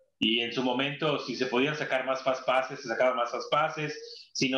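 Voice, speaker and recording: A man with a Mexican accent talks at a moderate pace in a fairly high pitch. Audible room echo surrounds his voice. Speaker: former tour guide. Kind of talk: casual chat.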